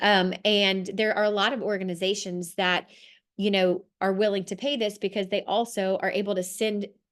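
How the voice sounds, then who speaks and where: Against a quiet background, a woman speaks at a medium pitch with monotone, flat intonation. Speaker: social work program presenter. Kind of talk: presentation over video call. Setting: video call. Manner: fast.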